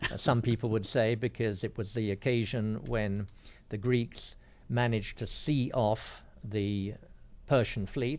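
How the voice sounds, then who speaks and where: With a southern English accent, a man speaks fairly slowly, at medium pitch, with fairly even intonation. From England, northwest London. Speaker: classics professor. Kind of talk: radio interview. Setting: radio studio.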